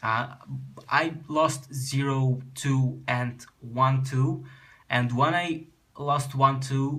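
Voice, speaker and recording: In a Russian accent, a bright, sharp voice speaks at a very slow pace with monotone, flat intonation and audible room echo. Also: man, medium pitch for a man. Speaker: card game youtuber. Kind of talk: deck tech explanation. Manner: halting.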